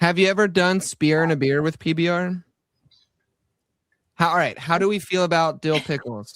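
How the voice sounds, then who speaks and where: A high-pitched man with a slight Southern US accent, ordinary pitch variation, very even loudness and long, frequent pauses, on a very clean recording with a silent background. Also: moderate pace. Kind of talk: casual chat. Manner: animated.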